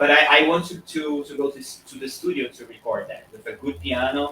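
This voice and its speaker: A man with a Portuguese accent and a fairly high pitch speaks at a moderate pace with ordinary pitch variation over noticeable background noise. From Brazil. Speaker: pianist, composer and piano teacher. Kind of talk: interview. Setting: live video call. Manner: halting, with many repetitions.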